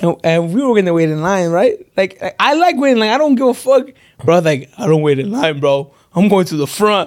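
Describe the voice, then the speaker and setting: A man with an American accent speaks fairly quickly at a high pitch, with very wide pitch swings. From Los Angeles, San Fernando Valley. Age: 20s. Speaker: social media influencer. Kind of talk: casual chat.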